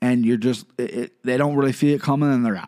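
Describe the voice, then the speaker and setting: In a Midwestern US accent, a man talks at a very fast pace with an animated tone on a very clean recording with a silent background. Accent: US Midwest. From Ohio, US. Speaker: MMA podcast host. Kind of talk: solo podcast commentary.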